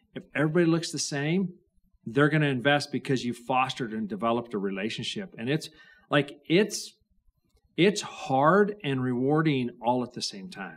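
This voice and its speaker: A man's fairly high voice with lively intonation and a slight Idaho accent. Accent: Idaho drawl, slight. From Idaho, rural farm. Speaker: venture capitalist. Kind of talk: podcast interview.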